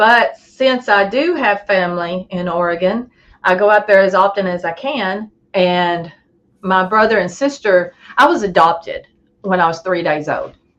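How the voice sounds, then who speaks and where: A woman speaks at a moderate pace in a Southern US accent, her medium pitch showing ordinary variation. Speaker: Bigfoot researcher. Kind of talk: casual interview chat.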